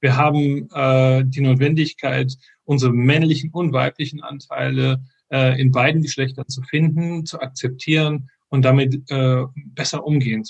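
Somewhat breathy and monotone, a man with a medium pitch speaks at a moderate pace, his loudness swinging widely. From Frankfurt, Hesse, Germany. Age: 50s. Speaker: software engineer and men's group organizer. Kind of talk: interview. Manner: halting, many fillers.

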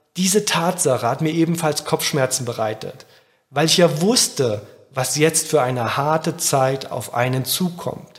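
Fairly high in pitch, a man speaks at a fairly slow pace with lively intonation in an unremarkable speaking voice. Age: 30s. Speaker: podcast host, agency founder. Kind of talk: scripted monologue.

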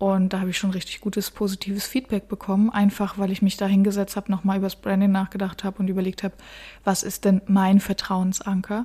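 A woman with a dark, mellow, somewhat breathy tone speaks very fast in a monotone, flat intonation. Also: medium pitch for a woman. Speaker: marketing podcast host and web agency owner. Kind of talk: solo podcast talk. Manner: casual, with frequent fillers.

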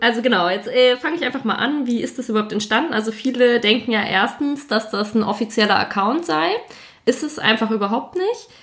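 A fairly high-pitched woman's voice moves at a fairly quick clip with ordinary pitch variation, while noticeable noise sits behind it. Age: 20s. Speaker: podcast host and army officer. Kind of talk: casual chat.

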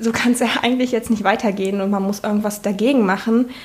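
A woman with a medium pitch speaks at a fairly quick pace in a flat, monotone way. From eastern Germany, Saxony-Anhalt. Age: 20s. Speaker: state parliament member. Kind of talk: interview. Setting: home kitchen.

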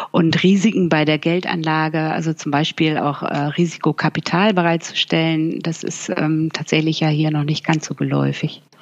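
Over noticeable background noise, a woman speaks with a very deep, low pitch in a monotone, flat way, with hardly any pauses. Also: moderate pace. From northern Germany (Bremen). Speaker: financial journalist. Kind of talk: interview.

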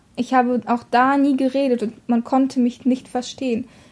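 A woman's high-pitched voice with a dark, mellow tone and a slight Russian accent, monotone and flat in intonation, at a fairly slow pace. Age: 20s. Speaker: podcast co-host. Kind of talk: casual chat.

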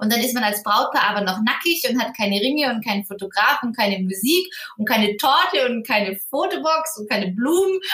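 A woman speaks at a fairly quick pace with a fairly high pitch and very wide pitch swings. Noticeable background noise can be heard. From southern Germany, Ulm (Swabia). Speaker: wedding planner. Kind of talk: interview.

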